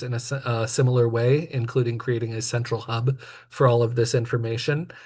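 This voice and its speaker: Somewhat breathy and dark, mellow in tone, a man speaks at a medium pitch with monotone, flat intonation at a fairly quick pace. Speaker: committee member presenting plan. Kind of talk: public meeting presentation. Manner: fast.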